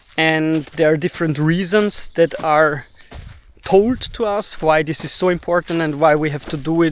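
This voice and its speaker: A man with a German accent speaks at a fairly slow pace. His pitch is fairly high, his intonation fairly even. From Austria, Vienna. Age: 30s. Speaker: video blogger. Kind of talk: personal monologue. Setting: recording to camera. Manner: halting, pauses to find words.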